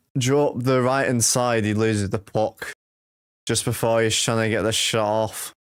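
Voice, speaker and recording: In a very clean recording with a silent background, a man with a Manchester accent talks at a moderate pace with fairly even intonation. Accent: Manchester English, noticeable. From England, Manchester. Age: 20s. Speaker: hockey live-stream commentator. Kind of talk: live commentary; casual chat with viewers. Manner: casual, conversational.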